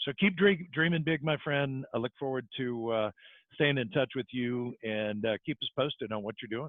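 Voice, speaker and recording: A man at a medium pitch, speaking at a moderate pace with ordinary pitch variation. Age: 60s. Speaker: podcast host and mortgage coach. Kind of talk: casual interview. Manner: animated.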